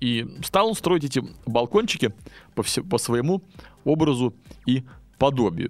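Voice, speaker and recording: A man speaks at medium pitch and a fairly slow pace, with long, frequent pauses. His pitch swings very widely. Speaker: podcast host, English teacher. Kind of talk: educational monologue; storytelling (fairy tale). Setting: studio.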